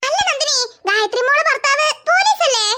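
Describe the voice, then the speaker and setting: A cartoonish character voice from a woman, squeaky and extremely high-pitched, with lively intonation at a moderate pace. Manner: homely, chatty.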